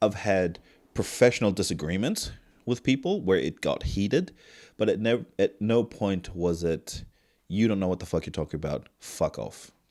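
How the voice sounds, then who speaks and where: A man's fairly low voice with ordinary pitch variation at a moderate pace, on a very clean recording with a silent background. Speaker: mental health nurse. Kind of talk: casual chat. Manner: loud.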